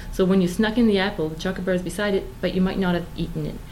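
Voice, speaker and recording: There is audible room echo as a woman speaks. Her intonation is monotone and flat. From Moncton, New Brunswick, Canada. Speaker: vegan interviewee. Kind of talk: casual interview.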